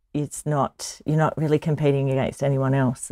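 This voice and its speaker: Recorded very cleanly against a silent background, a woman speaks at a moderate pace with an Australian accent, the sound dry and close with no echo. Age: 50s. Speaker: charity marathon runner. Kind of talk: interview.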